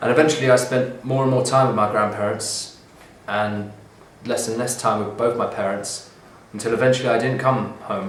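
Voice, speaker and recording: A man with a southern English accent speaks at medium pitch and a moderate pace with fairly even intonation, amid noticeable background noise and audible room echo. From southern England (Bognor Regis, West Sussex). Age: 20s. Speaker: artist. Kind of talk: reading aloud a transcript of his own life story. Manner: hesitant, with ums and uhs.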